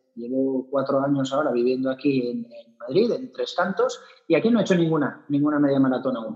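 A man's lively intonation at a fairly quick pace. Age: 40s. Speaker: amateur runner. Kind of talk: casual interview chat.

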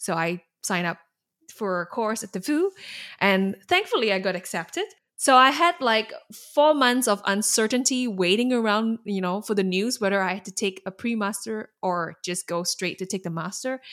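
A woman in a Singaporean accent at a medium pitch and moderate pace, with lively intonation, in a very clean recording with a silent background. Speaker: alumna, learning and development specialist. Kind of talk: interview, casual and conversational.

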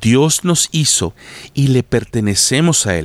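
A man talks very slowly at a medium pitch in a warm tone with very wide pitch swings, the sound dry and close with no echo. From Latin America, tropical country. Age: 40s. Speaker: pastor. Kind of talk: devotional podcast monologue. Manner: warm, direct address to listener.

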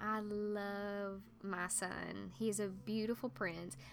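A woman with an Appalachian accent. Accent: Southern US Appalachian. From US South, eastern Tennessee (Appalachia). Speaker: podcast host, writer and occultist. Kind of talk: casual monologue. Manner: halting, with filler words.

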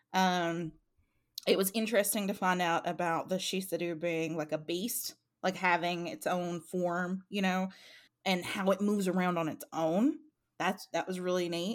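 With an animated tone, a woman speaks at medium pitch and a moderate pace with ordinary pitch variation, in a very clean recording with a silent background. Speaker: book club co-host. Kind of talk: casual chat. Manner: animated, joking.

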